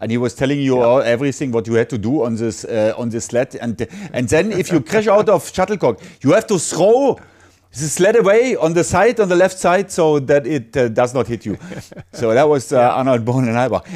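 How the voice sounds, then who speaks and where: The voice carries a German accent. Its pitch swings very widely. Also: man, fairly high pitch for a man, fairly quick pace. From Germany. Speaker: sports commentator and podcast host. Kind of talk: casual chat.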